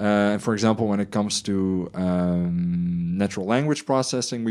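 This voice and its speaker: At a moderate pace, a man with a Dutch accent speaks in a fairly low pitch. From Netherlands. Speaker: podcast co-host. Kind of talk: casual chat.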